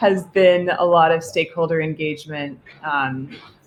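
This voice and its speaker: Over noticeable background noise, a woman talks with an American accent. Her pitch is very deep and low. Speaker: interview guest, policy researcher. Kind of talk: interview on a live stream.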